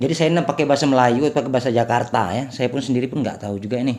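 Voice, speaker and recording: A man is talking. His delivery is very rapid. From Sumatra, Indonesia. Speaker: vlogger. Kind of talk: casual vlog chat. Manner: hesitant, filler-heavy.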